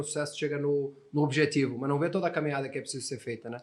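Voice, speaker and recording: This man talks at a very fast pace with a fairly high pitch. Noticeable background noise runs under his voice. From Portugal. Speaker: English teacher. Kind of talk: podcast interview.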